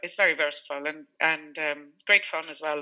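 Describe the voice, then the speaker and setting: This woman has a very deep, low voice with a Swedish accent. Her pace is moderate. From Sweden. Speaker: food business founder. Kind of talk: radio interview. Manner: halting, with repeated words and fillers.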